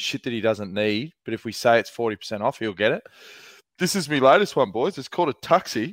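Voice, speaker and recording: With an Australian accent, a man speaks using very wide pitch swings. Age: 40s. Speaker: podcast host. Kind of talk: casual chat.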